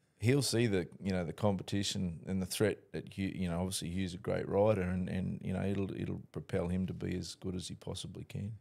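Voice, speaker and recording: With an Australian accent, a man speaks at a fairly quick pace in a very deep, low pitch and a dark, mellow tone, using fairly even intonation and hardly any pauses over a quiet background. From North Queensland, Australia. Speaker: horse racing trainer. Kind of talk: casual interview chat. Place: studio. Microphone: studio mic.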